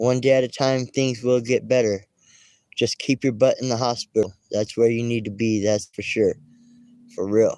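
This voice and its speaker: A mumbling voice with a dark, mellow tone keeps a monotone, flat intonation at a moderate pace, in a dry, close sound with no echo. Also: man, medium pitch for a man. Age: 40s. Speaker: YouTuber. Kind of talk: casual livestream chat.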